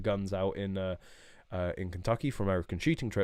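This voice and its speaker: Someone speaks with a British accent at a fairly quick pace and ordinary pitch variation on a very clean recording with a silent background. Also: man. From England. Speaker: shooting YouTuber. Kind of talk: live stream chat. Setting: live stream. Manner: casual, many fillers.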